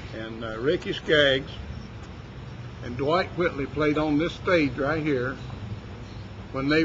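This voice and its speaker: In an Appalachian accent, a man speaks at a fairly slow pace. His pitch variation is ordinary. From West Virginia. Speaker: ranch worker. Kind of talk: interview answer.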